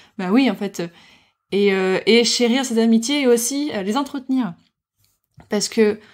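A woman's fairly even intonation is heard on a very clean recording with a silent background. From Morocco. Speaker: podcaster. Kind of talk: personal testimony. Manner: halting.

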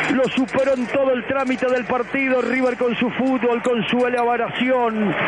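Amid noticeable background noise, a man speaks at a moderate pace with an extremely high pitch and monotone, flat intonation. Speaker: football match radio commentator. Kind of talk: live radio sports commentary. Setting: radio broadcast.

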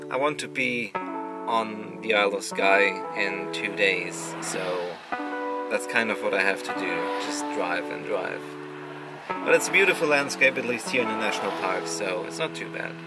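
Loud music plays in the background as a man talks at a moderate pace with long, frequent pauses. The sound is dry with no echo. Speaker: travel vlogger. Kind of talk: casual vlog chat. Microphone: phone near.

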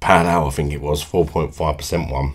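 A man's extremely low voice at a fast pace, with ordinary pitch variation

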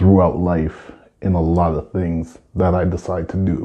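A man at a very slow pace, his very deep, low voice dark, mellow and somewhat breathy, over a quiet background. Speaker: artist vlogger. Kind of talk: casual vlog storytelling. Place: studio.

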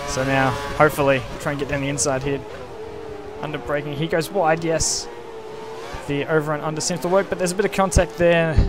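Music plays in the background as a man talks. His pitch is fairly high, and he takes long, frequent pauses. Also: ordinary pitch variation, fairly quick pace. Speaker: sim racing driver and commentator. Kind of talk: race call over gameplay highlights. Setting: voiceover recorded over in-game footage. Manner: casual, conversational commentary; fluent play-by-play, occasionally hesitant with fillers.

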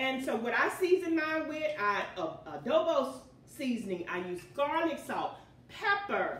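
Audible echo from the room around a woman speaking fairly slowly. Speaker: home cooking show host. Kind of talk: prayer then cooking tutorial chat. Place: kitchen.

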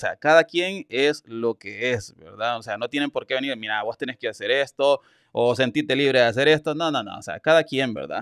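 Against a quiet background, a man talks in a Salvadoran accent with a fairly high pitch. His tone is animated and his intonation lively. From El Salvador. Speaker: YouTube news commentator. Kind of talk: live-stream news commentary. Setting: live stream. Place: home room. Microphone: studio mic.

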